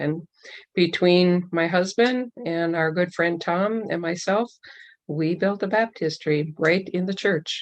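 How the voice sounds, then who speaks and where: Fairly low in pitch, a woman speaks in a plain, everyday voice. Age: 60s. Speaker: church member giving testimony. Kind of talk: testimony.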